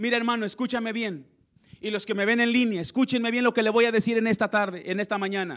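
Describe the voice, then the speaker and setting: In an animated tone, a man with a high pitch speaks at a very fast pace. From Mexico, Zacatecas and Piedras Negras. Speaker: pastor. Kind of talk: sermon.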